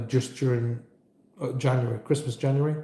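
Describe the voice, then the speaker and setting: In a central Irish accent, a man speaks at a medium pitch with a dark, mellow tone, somewhat breathy, and with monotone, flat intonation. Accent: soft Irish, from the centre of Ireland. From Ireland.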